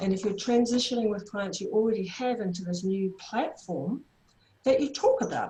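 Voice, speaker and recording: A woman talks with a New Zealand accent. Her pitch varies in an ordinary way. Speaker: therapy trainer. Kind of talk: online workshop presentation.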